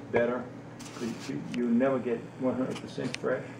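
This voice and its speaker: A man speaks at a fairly slow pace over noticeable background noise. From South Louisiana. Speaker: wildlife sanctuary caretaker. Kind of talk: interview answer.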